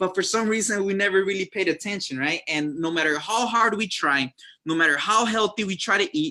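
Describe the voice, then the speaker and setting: A man with a high pitch speaks in a raised, projected voice, bright and sharp, with lively intonation at a fairly quick pace. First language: Spanish. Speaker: network marketing distributor. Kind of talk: sales presentation. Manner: hesitant, many fillers.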